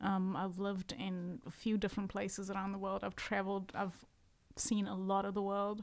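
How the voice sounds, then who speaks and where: Soft-spoken, a woman talks at a moderate pace with monotone, flat intonation. The recording is very clean, with a silent background. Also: medium pitch for a woman. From South Africa. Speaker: singer-songwriter. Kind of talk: casual chat.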